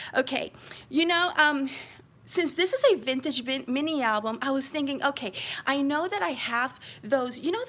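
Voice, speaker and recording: Amid noticeable background noise, a woman with an American accent speaks with lively intonation. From New York City (Queens). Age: 50s. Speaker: crafting YouTuber. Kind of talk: live-stream craft flip-through chat. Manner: chatty, animated.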